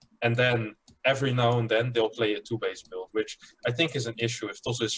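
Fairly quick in pace, this voice is somewhat breathy. Its intonation stays fairly even. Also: man. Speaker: guest, StarCraft player and analyst. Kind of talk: casual group discussion about a video game. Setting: video call.

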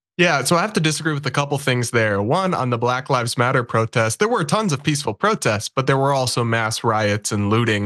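Against a quiet background, a man uses an ordinary speaking voice at medium pitch. He talks at a fairly quick pace with ordinary pitch variation. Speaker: political commentator. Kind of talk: debate.

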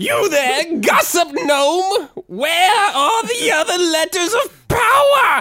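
An extremely high-pitched put-on character voice at a very slow pace, with hardly any pauses. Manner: aggressive, shouting.

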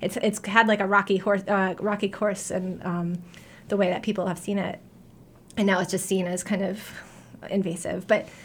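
At a moderate pace broken by long, frequent pauses, a woman with an American accent speaks at medium pitch in a monotone, flat intonation. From New York. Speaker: history professor. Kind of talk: radio interview. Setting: radio studio. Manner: casual, many filler words.

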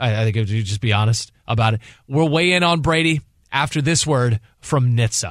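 Speaking at a medium pitch and a fairly quick pace, a man has a plain, everyday voice with lively intonation. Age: 40s. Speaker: fill-in sports radio host. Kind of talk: sports talk radio.

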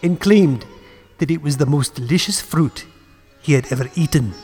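A man speaks in a dark, mellow tone with a slightly husky edge. Faint music plays in the background.

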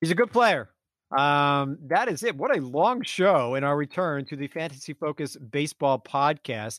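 A man talks loudly in a fairly high pitch, with lively intonation. The sound is dry and close, with no echo. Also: moderate pace. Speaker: fantasy baseball podcast host. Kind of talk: casual chat. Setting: remote recording. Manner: loud, energetic.

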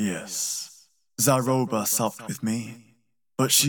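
An unforced reading voice moves with fairly even intonation.

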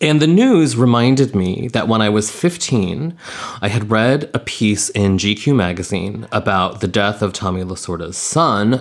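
An unremarkable speaking voice from a man at fairly low pitch, with lively intonation and hardly any pauses. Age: 40s. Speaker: podcast co-host. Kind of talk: casual chat.

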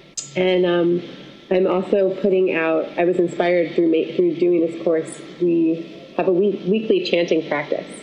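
Over noticeable background noise, a woman with an American accent speaks at a fairly slow pace and fairly low pitch, her loudness very even and her intonation monotone and flat. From Syracuse, New York. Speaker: singer-songwriter and voice teacher. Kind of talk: casual interview chat.

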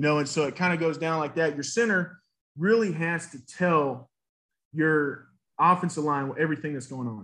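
Over a quiet background, a man with a fairly high pitch and a bright, sharp tone talks at a moderate pace with ordinary pitch variation. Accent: Southern US. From US South, Nashville, Tennessee. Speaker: former college football player. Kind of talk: interview. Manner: halting, many fillers.

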